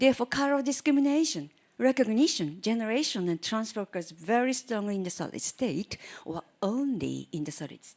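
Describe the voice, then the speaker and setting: Speaking fairly quickly with a Japanese accent, a woman has a fairly high pitch with very wide swings. Her loudness also swings widely. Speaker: chemistry professor. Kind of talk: lecture.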